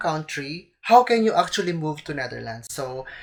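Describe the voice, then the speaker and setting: A woman at a moderate pace, in a Filipino accent. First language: Tagalog. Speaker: vlogger. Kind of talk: vlog explainer.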